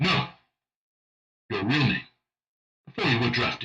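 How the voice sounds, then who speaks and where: A man speaks in a raspy, put-on character voice, medium in pitch, at a moderate pace. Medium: dub.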